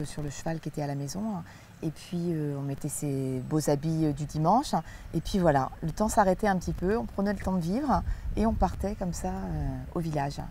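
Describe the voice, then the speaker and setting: A woman speaks with a very deep, low pitch and a dark, mellow tone. The sound is dry with no echo, and there is light background noise. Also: ordinary pitch variation, moderate pace. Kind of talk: interview answer. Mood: warm, relaxed, nostalgic. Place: garden. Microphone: lapel.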